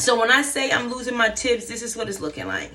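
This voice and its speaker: A woman speaks in a fairly high pitch with a bright, sharp tone and vocal fry. Audible room echo fills the recording. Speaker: hair vlogger. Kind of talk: casual vlog chat.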